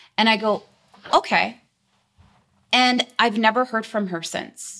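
Fairly slow and with fairly even intonation, a woman with a Canadian accent speaks in a bright, sharp tone. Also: very clean recording, silent background. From British Columbia, Canada (Delta, near Vancouver). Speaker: insurance sales agent. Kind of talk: interview.

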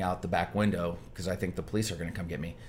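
A man talks at a very fast pace with an animated tone. His pitch moves in an ordinary way. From Michigan. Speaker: restaurant chain founder and entrepreneur. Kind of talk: interview.

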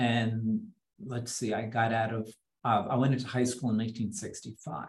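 A man with an American accent speaks at a moderate pace in a fairly low voice, with little pitch movement and audible room echo.

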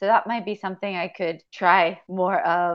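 At a moderate pace, a woman with a medium-pitched voice talks in an unremarkable speaking voice. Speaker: coaching client. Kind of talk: coaching conversation.

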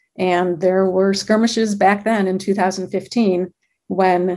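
A woman speaks very slowly with an American accent. Her pitch sits in the middle range and moves in an ordinary way. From Michigan. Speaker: solar policy advisor, lawyer. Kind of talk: interview.

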